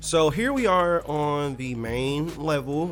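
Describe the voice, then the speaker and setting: A man speaks over music in the background. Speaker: indie game developer. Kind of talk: casual devlog tutorial. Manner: fast; animated.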